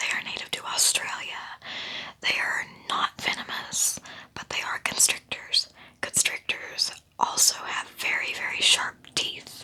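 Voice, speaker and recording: A woman whispers fairly slowly as noticeable background noise continues. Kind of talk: ASMR whispered educational talk about a pet snake. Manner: whispered, soft-spoken.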